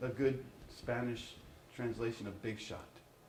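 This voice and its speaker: With an American accent, a man of medium pitch talks at a moderate pace with fairly even intonation, audible room echo and noticeable background noise. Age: 60s. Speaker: professor. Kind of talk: lecture.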